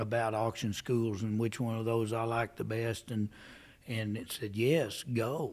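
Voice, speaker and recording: On a very clean recording with a silent background, a man with a plain, everyday voice speaks at a fairly slow pace, medium pitch and fairly even intonation. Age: 60s. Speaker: livestock auctioneer. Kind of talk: interview answer.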